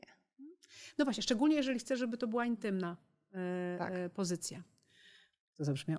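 A woman speaks at a very fast pace with a fairly high pitch, very wide pitch swings and big swings in loudness. The background is quiet. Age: 40s. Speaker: foundation president and businesswoman; podcast guest. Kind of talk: interview. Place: studio. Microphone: studio mic.

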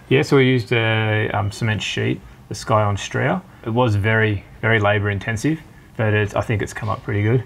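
Here a man speaks in an Australian accent. His pitch variation is ordinary. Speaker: homeowner. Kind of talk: home tour interview. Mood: relaxed, proud. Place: home room. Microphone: lapel.

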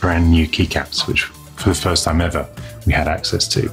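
Faint music plays in the background as a man talks at a moderate pace with a very deep, low pitch. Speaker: show host. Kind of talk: news show presenting. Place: studio.

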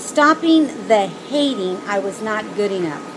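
A woman talks against noticeable background noise. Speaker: vlogger on weight-loss surgery. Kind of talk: casual vlog chat. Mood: earnest, reflective. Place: garden. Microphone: phone near.

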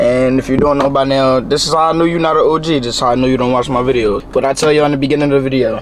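The delivery is very fast, with very even loudness. Light background noise sits underneath. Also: man. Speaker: vlogger. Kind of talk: casual vlog chat.

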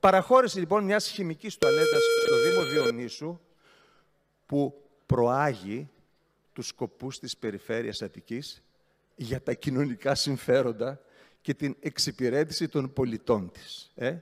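A man with a fairly high pitch and lively intonation speaks at a fairly slow pace, with long, frequent pauses and big swings in loudness against a quiet background. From Greece. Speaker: regional councillor, opposition party leader; regional councillor. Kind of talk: council speech. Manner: sarcastic, animated. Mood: mocking, ironic. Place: hall. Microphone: podium.

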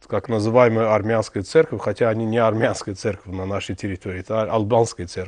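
A man's fairly low voice in an Azerbaijani accent, fairly quick with hardly any pauses and fairly even intonation. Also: quiet background. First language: Azerbaijani (speaking Russian). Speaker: TV host. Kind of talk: TV interview. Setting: TV studio. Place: studio.

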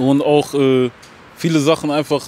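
A man with a fairly high voice speaks at a moderate pace, the sound dry with no echo and light background noise behind him. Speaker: rapper; interviewee. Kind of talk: casual interview. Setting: outdoors. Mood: relaxed, casual. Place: street. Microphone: handheld.

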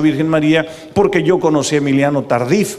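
A fairly high-pitched man at a fairly quick pace. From Mexico. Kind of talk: preaching talk to live audience. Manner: animated. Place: stadium. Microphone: handheld.

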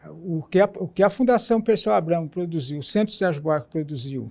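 Intonation from this man is lively. He speaks at a moderate pace with a high pitch. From interior of São Paulo state, Brazil. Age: 70s. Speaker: anti-racism activist and party militant; interviewee. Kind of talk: oral history interview; interview answer. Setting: auditorium. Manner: halting, with many restarts. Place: hall. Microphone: lapel.

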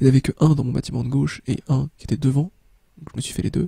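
A man with a dark, mellow tone and a fairly high pitch talks at a very fast pace, with fairly even intonation and vocal fry. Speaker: gaming youtuber. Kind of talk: let's play commentary.

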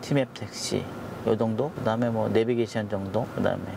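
Moderate pace from a man, ordinary pitch variation, dry sound with no echo, and noticeable background noise. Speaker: taxi driver vlogger. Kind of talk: casual vlog chat. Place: car. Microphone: lapel.

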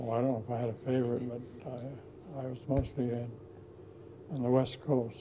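A man speaks at a moderate pace with fairly even intonation. He pauses often and at length, with noticeable background noise behind him. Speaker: war veteran. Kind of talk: interview answer. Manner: hesitant, halting. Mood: reminiscent, calm. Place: home room. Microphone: lapel.

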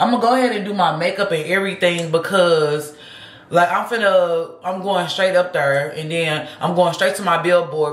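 The speech moves at a fairly quick pace. Some room echo can be heard. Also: woman. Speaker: vlogger. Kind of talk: casual vlog chat. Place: home room. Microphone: phone near.

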